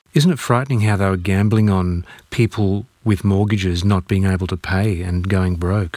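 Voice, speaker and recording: The speaker has an Australian accent and a moderate pace. Intonation stays fairly even. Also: man, fairly low pitch for a man. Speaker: radio host. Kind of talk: radio interview.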